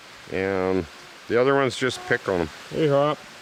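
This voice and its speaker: A man with a Canadian accent, relaxed in tone, at a fairly slow pace with lively intonation, amid noticeable background noise. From Canada, British Columbia. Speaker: survivalist vlogger. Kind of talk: casual vlog narration and chat. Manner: relaxed, hesitant with fillers.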